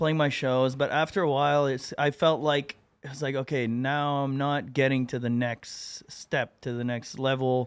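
A man speaks at a moderate pace in a flat monotone, with hardly any pauses. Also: medium pitch for a man. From Atlantic Canada (Moncton, New Brunswick). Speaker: singer-songwriter. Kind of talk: casual interview chat.

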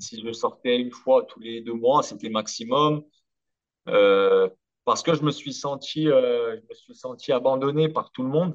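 With ordinary pitch variation, a man talks at a medium pitch and a very slow pace. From Corsica. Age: 30s. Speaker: former professional footballer. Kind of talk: interview.

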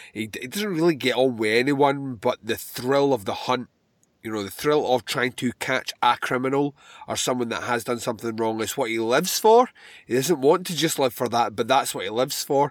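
A man with a Scottish accent at medium pitch, ordinary pitch variation, in a very clean recording with a silent background. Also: moderate pace, dry, close sound with no echo. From Scotland. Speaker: podcast host. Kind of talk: movie commentary. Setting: home recording.

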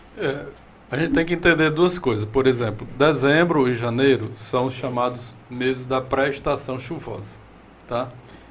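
A man talks at a medium pitch and moderate pace with ordinary pitch variation. Audible room echo surrounds the voice. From Ceará, Brazil (Iguatu). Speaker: meteorology professor. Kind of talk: interview.

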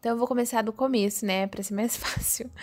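A woman speaks at a fairly quick pace in a flat, monotone way, recorded very cleanly against a silent background. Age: 20s. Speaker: podcaster and media student. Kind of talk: casual monologue. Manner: hesitant, with fillers.

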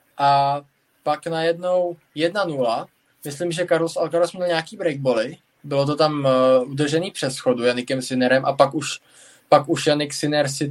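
With a plain, everyday voice, a man speaks at a moderate pace in a fairly high pitch, using ordinary pitch variation. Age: 20s. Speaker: tennis podcast host. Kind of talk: casual chat. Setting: live stream.

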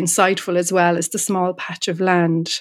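Speaking at a moderate pace with an Irish accent, a woman keeps a fairly low pitch and a monotone, flat intonation. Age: 50s. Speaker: writer. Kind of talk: interview conversation. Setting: remote call from home.

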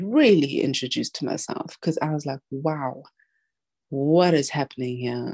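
Recorded dry and close with no echo, a woman speaks with a very deep, low pitch and a dark, mellow tone. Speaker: communication consultant and podcast host. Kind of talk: casual chat. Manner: soft-spoken.

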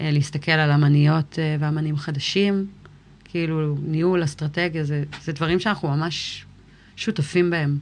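A woman speaks in a very deep, low pitch. Her pace is fairly slow and her intonation fairly even. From Israel. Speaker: musician, rapper. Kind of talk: interview.

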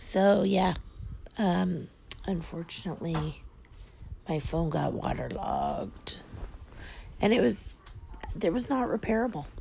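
Long, frequent pauses break up a woman's fairly slow speech, with noticeable background noise throughout. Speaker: podcast host. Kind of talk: casual chat. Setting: lying down while recording. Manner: chatty, rambling.

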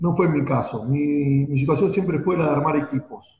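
With an ordinary speaking voice, a man talks at a moderate pace and a fairly high pitch, using ordinary pitch variation. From Argentina, Buenos Aires. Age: 50s. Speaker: marketing consultant. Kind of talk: interview.

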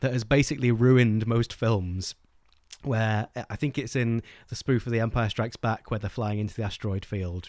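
Speaking fairly quickly with an English accent, a man uses a medium pitch and ordinary pitch variation on a very clean recording with a silent background. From England. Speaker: book podcast host. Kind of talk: casual chat.

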